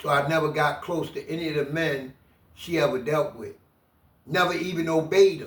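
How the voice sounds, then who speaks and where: Speaking at a moderate pace, a man has an ordinary speaking voice. His pitch is fairly high, with fairly even intonation. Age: 60s. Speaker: former prisoner. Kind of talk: interview testimony.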